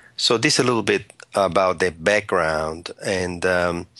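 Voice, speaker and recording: Very deep and low in pitch, a man speaks at a fairly slow pace. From Italy. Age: 60s. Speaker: social entrepreneur and author. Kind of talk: interview.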